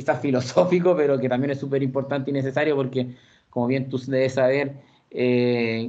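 With a Chilean accent, a man talks at a moderate pace and a fairly high pitch. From Santiago, Chile. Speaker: historian. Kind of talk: radio interview.

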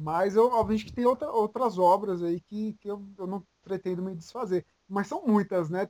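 Pitched high for a man, this dark, mellow voice moves at a moderate pace with ordinary pitch variation. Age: 20s. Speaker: manga content creator. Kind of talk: casual chat.

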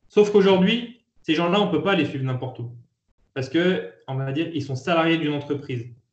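Somewhat breathy delivery at a moderate pace with ordinary pitch variation. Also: man. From France, Lyon. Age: 30s. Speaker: entrepreneur. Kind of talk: interview. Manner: hesitant, many fillers.

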